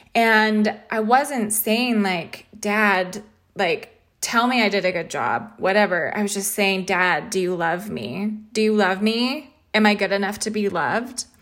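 A woman speaks at a fairly slow pace in an ordinary speaking voice, her pitch medium with ordinary variation. The recording is very clean, with a silent background. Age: 30s. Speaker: podcast host and embodiment coach. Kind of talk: solo spiritual podcast monologue. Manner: warm, reflective.

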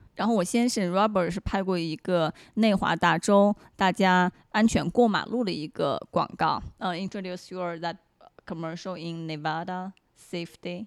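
In an ordinary speaking voice, a woman talks at a moderate pace and medium pitch with fairly even intonation, recorded dry and close with no echo. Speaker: actress and model. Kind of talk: casual interview.

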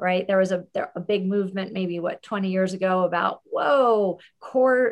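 Using a plain, everyday voice, a woman speaks at a moderate pace with medium pitch and fairly even intonation. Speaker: fitness instructor trainer. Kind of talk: webinar panel discussion. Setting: video call.

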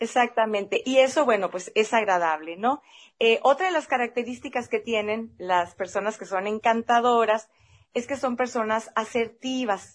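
A woman speaks at a moderate pace with a fairly high pitch. Her pitch variation is ordinary, and the background is quiet. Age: 50s. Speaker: podcast host. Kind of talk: casual chat.

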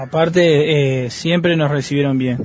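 Noticeable background noise behind ordinary pitch variation. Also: man. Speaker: football fan. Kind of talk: recorded message.

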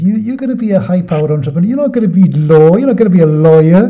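With a British accent, a man speaks at a very fast pace and a fairly high pitch with very wide pitch swings, amid audible room echo. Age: 50s. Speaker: podcast host. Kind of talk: interview.

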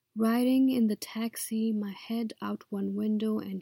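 Recorded dry and close with no echo, a woman with a fairly high pitch speaks very slowly in a dark, mellow, somewhat breathy tone. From Nepal. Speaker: poet. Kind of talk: poetry reading.

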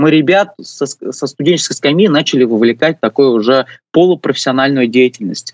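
Recorded dry and close with no echo, a man speaks very fast with a fairly high pitch and ordinary pitch variation. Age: 20s. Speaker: university administrator and youth urban-planning activist. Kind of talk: radio interview. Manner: hesitant, many filler sounds.

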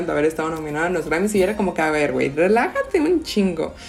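A woman speaks with a fairly low pitch while noticeable background noise is heard. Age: 20s. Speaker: podcast co-host. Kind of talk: casual chat.

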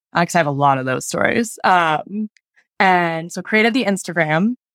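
A woman talks at a fairly quick pace in a normal speaking voice, her pitch fairly low. The sound is dry and close, with no echo. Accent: American. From Denver, Colorado. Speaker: founder of a travel company for people with diabetes. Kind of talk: interview.

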